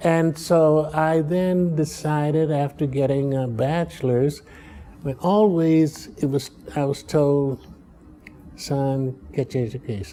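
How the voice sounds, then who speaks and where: A man with an American accent talks while noticeable background noise carries on. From Chicago, US Midwest. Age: 80s+. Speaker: political science professor. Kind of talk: interview. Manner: halting.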